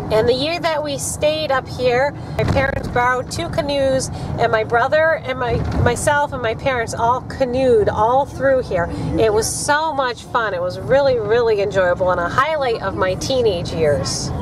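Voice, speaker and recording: A woman with a high pitch speaks at a moderate pace with lively intonation. The sound is dry with no echo, though noticeable background noise is present. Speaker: parent vlogger. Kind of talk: casual vlog chat. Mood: nostalgic, cheerful. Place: car.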